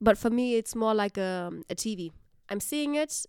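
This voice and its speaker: A woman speaks with a German accent. The recording is very clean with a silent background, and the sound is dry and close with no echo. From Germany. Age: 20s. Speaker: university staff. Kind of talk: casual chat.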